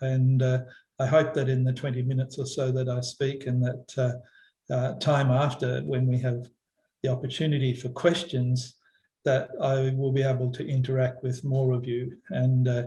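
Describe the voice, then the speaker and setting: A man with an Australian accent talks at a moderate pace in a monotone, flat delivery. His tone is dark and mellow, and somewhat breathy. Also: medium pitch for a man. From Western Australia, Perth. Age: 60s. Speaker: environmental philosopher. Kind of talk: talk to online workshop. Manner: halting, many fillers.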